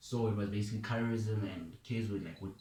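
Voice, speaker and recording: A man's somewhat breathy voice, fairly low in pitch. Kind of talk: casual talk to camera, personal testimony. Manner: casual, informal, with filler words and some stuttering.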